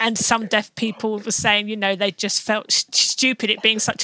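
A woman with a normal speaking voice and a fairly high pitch talks at a moderate pace with fairly even intonation. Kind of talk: interview. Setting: remote recording with sign language interpreters.

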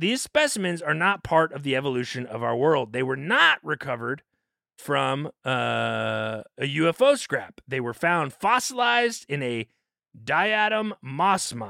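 A man speaks at a fairly slow pace in an animated, bright, sharp tone with a fairly high pitch and very wide pitch swings. The sound is dry and close, with no echo. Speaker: podcast host. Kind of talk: comedic casual chat. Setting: studio.

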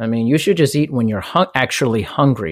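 On a very clean recording with a silent background, a man speaks in an unremarkable speaking voice with ordinary pitch variation. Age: 40s. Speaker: fitness business owner and personal trainer. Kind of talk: interview.

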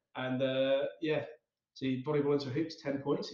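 This man's voice is somewhat breathy. His pitch sits fairly high. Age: 30s. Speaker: podcast co-host. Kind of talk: casual chat.

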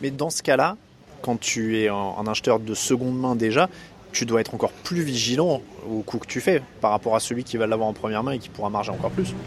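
A man with an unremarkable speaking voice at medium pitch talks at a fairly quick pace with ordinary pitch variation. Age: 30s. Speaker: podcast host. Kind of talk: casual interview.

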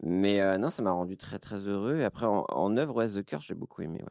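Dark and mellow in tone, the voice moves at a fairly quick pace with ordinary pitch variation, in a dry, close sound with no echo. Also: man. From Brittany, France. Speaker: streamer and podcast host. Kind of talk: casual chat.

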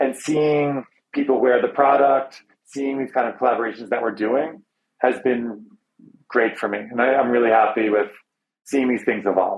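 With an unremarkable speaking voice, a man talks at a moderate pace and medium pitch, keeping his intonation fairly even. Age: 40s. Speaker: magazine editor and brand partner. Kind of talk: interview.

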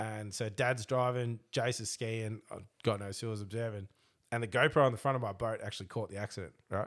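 At a fairly quick pace and with fairly even intonation, the speaker talks in an Australian accent on a very clean recording with a silent background. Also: man, medium pitch for a man. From Australia, Melbourne eastern suburbs. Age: 30s. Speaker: boat racing driver. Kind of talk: casual chat. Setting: studio.

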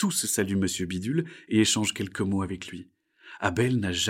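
Someone is reading aloud in a natural voice with lively intonation against a quiet background.

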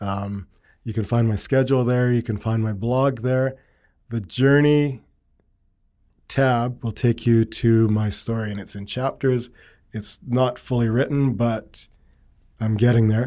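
A man speaks at a fairly slow pace. His tone is dark and mellow. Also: medium pitch for a man, very clean recording, silent background. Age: 50s. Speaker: yoga teacher. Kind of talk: casual interview chat. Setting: studio.

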